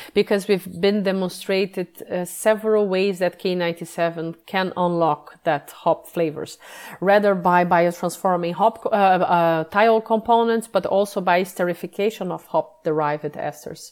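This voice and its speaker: Speaking with a Portuguese accent, a woman keeps a moderate pace at a medium pitch. Her intonation stays fairly even. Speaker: yeast sensory scientist. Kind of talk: interview. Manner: halting.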